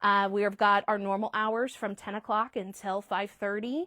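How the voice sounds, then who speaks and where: This woman's voice sits at medium pitch with a bright, sharp tone. The sound is dry and close, with no echo. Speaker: quilt shop staff presenting fabric. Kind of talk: live product showcase. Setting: livestream from shop. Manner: fast.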